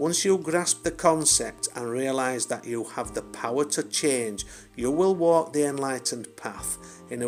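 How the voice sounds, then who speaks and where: Music plays in the background. A man speaks at medium pitch with lively intonation. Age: old. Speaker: spiritual poet. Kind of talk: poetry reading.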